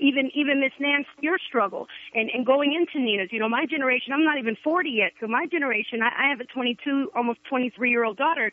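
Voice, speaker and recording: A man's extremely high-pitched voice, hardly any pauses, noticeable background noise. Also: ordinary pitch variation, fairly quick pace. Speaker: pastor. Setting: phone call.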